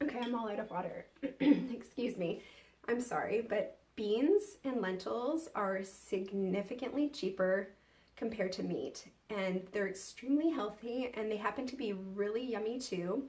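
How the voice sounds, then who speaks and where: Her voice is fairly high and somewhat breathy. The woman keeps a moderate pace. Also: ordinary pitch variation. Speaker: lifestyle vlogger. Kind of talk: tutorial.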